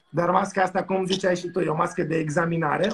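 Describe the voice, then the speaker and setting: A man speaks with a high-pitched voice. Light background noise sits behind him. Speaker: doctor. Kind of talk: casual chat. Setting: video call. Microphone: video call.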